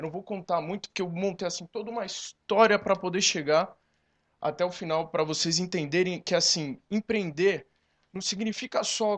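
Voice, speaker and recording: A man talks in a high-pitched voice with ordinary pitch variation. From interior of São Paulo state, Brazil. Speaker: advertising agency creative director, entrepreneur. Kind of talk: talk to a live audience at a conference panel. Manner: informal, with many fillers.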